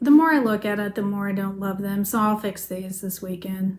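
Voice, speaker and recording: Soft-spoken and somewhat breathy, a woman mumbles at a moderate pace with a medium pitch and ordinary pitch variation. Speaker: crafting video host. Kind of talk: casual chat. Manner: mumbling.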